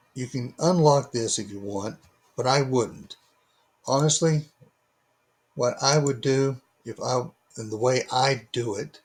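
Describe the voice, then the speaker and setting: A man's somewhat breathy, medium-pitched voice with ordinary pitch variation and big swings in loudness, at a fairly slow pace with long, frequent pauses. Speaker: DIY maker selling laser-cut kits. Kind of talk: tutorial. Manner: halting; informal, unpolished.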